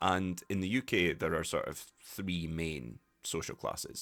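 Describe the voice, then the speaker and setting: Against a silent background in a very clean recording, a man talks at a very deep, low pitch. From Scotland. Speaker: English teacher, podcast host. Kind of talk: educational podcast talk.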